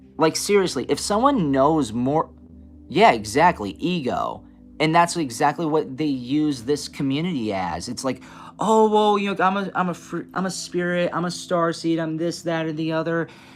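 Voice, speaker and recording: With music in the background, a man speaks at a moderate pace in an animated tone, his fairly high voice moving in lively intonation. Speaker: spiritual reader streamer. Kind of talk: casual live stream talk. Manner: halting, many restarts.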